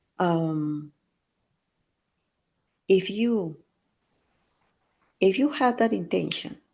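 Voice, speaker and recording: A woman's dark, mellow voice at medium pitch, lively intonation, a very slow pace with long, frequent pauses, and a quiet background. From Peru. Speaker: intuitive coach and hypnotherapist. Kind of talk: podcast interview answer, coaching advice.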